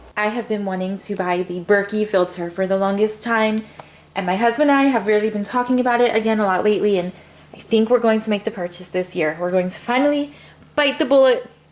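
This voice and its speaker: Over noticeable background noise, a woman talks at a very fast pace with a fairly high pitch and ordinary pitch variation. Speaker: mom lifestyle vlogger. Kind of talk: casual haul vlog.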